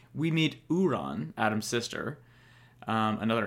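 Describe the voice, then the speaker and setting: A man with vocal fry speaks at a moderate pace. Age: 30s. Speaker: podcast host. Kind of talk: casual solo podcast talk. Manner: halting, filler-heavy.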